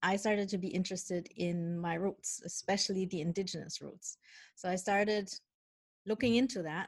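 A somewhat breathy, medium-pitched woman's voice with fairly even intonation at a moderate pace. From Germany. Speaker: spirit guide medium and author. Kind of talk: interview conversation.

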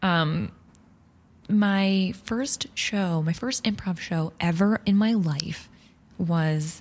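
Somewhat breathy, a woman with an American accent speaks at a fairly low pitch with ordinary pitch variation. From Long Island, New York. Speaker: improv performer. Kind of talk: casual interview chat.

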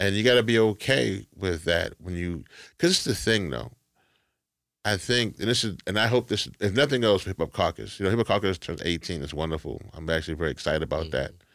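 A man with an American accent speaks at a very fast pace in a very deep, low voice with vocal fry and lively intonation, on a very clean recording with a silent background. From Louisiana, US South. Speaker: activist and organization leader. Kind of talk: interview, personal life story.

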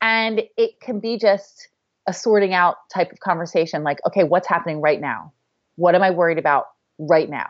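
A woman with an unremarkable speaking voice talks at a moderate pace and medium pitch. Her pitch variation is ordinary, but her loudness swings a lot. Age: 30s. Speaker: author and blogger. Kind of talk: casual interview.

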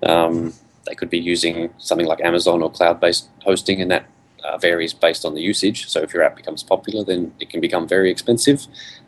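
A man talks at a very fast pace. He has an Australian accent. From Western Australia. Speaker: software company CEO. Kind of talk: podcast interview. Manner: hesitant, many fillers.

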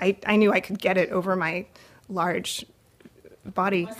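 Someone speaks with a West Coast accent in a very clean recording with a silent background. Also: woman. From California, San Francisco Bay Area. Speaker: storyteller. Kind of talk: personal storytelling. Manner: halting, with frequent fillers.

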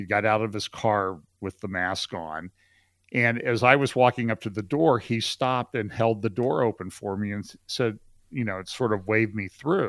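A plain, everyday voice from a man, fairly low in pitch with ordinary variation, at a moderate pace, dry and close with no echo over a quiet background. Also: big swings in loudness. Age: 60s. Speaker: pastor and trial lawyer. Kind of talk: casual chat.

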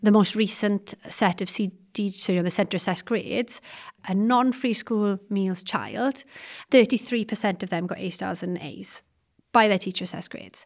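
A woman with a South Welsh accent at a moderate pace, with ordinary pitch variation and big swings in loudness. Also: medium pitch for a woman, very clean recording, silent background. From South Wales. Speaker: secondary history teacher and researcher. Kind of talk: interview about education research.

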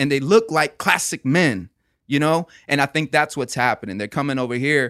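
With an American accent, a man talks in a fairly high, bright, sharp voice, recorded very cleanly over a silent background with a dry, close sound and no echo. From Florida. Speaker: podcast co-host. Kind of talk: casual chat.

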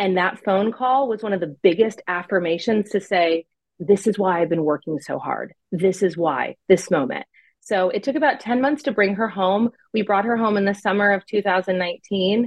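This woman, with an American accent, has an unremarkable speaking voice at a medium pitch, with ordinary pitch variation and a moderate pace. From US, California and Pennsylvania. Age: 30s. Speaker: adoptive mother and former church creative director. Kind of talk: interview testimony.

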